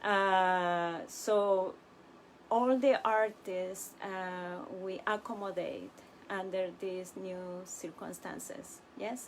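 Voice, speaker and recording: In a Spanish accent, a woman with a medium-pitched voice talks at a very slow pace, her pitch varying in an ordinary way while her loudness swings widely. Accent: non-native English, Spanish. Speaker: puppet workshop director and teaching artist. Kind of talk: live-streamed workshop talk. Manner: halting, many fillers.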